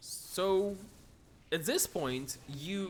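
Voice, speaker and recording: A man speaks in a high voice with a non-native accent and very wide pitch swings. Music plays in the background. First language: not English. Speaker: esports commentator. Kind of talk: live commentary. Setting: live stream. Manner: halting, many repetitions.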